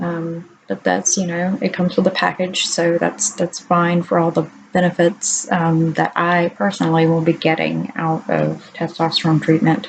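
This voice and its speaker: The speech moves at a moderate pace with hardly any pauses and ordinary pitch variation, over noticeable background noise. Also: woman, fairly low pitch for a woman. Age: 30s. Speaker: vlogger. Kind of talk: video diary.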